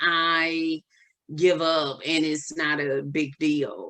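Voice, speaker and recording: With a Southern US accent, a woman speaks at a fairly low pitch in a bright, sharp tone. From US South. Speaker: holistic wellness coach. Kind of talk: podcast interview. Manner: casual, hesitant with fillers.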